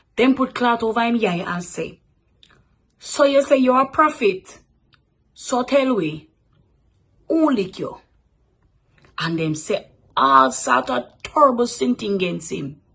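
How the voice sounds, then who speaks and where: With a Jamaican accent, a woman talks fairly slowly at a fairly high pitch, swinging very widely in pitch and pausing long and often. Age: 20s. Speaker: radio announcer. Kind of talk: scripture reading.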